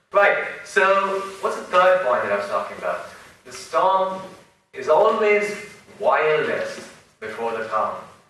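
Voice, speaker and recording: Long, frequent pauses break up a man's fairly slow speech. Audible room echo surrounds him. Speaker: entrepreneur, speaker. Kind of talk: lecture. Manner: animated.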